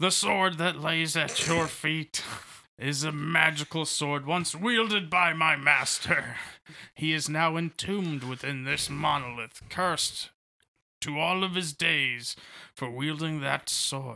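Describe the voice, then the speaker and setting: Putting on a raspy character voice, a man talks at a fairly slow pace and a fairly high pitch. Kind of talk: mock-solemn fantasy pronouncement. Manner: grandiose, then flustered and apologetic.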